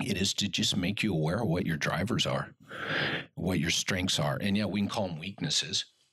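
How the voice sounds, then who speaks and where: Noticeable background noise is present throughout. Over it, a man talks at a fairly quick pace. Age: 40s. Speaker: physical therapist and practice owner. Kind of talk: casual chat.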